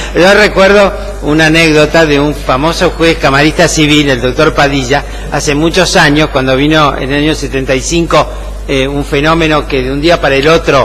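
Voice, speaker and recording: Audible room echo and noticeable background noise fill the recording. Within it, a man talks at a moderate pace. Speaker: law professor. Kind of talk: lecture. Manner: frequent fillers (eh, ¿mm? ¿tá?).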